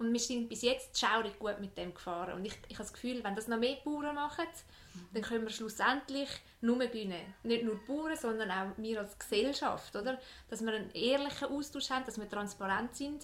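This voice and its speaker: Speech moves at a fairly quick pace. Pitch varies in an ordinary way. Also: woman, fairly high pitch for a woman. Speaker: podcast host. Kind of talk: interview.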